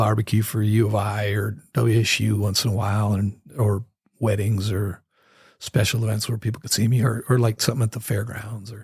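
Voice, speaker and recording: Speaking with an American accent, a man sounds somewhat breathy at a medium pitch. He moves at a fairly quick pace. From northern Idaho. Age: 60s. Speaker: musician. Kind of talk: casual chat. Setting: studio.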